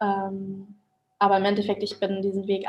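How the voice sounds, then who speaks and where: A woman talks at a medium pitch. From Germany. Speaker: interviewee. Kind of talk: interview. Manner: hesitant, many fillers.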